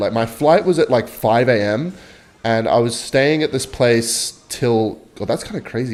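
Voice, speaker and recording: Lively intonation from a man with an Australian accent at a fairly quick pace. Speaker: gaming streamer. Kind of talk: gameplay commentary with storytelling. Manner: casual, rambling.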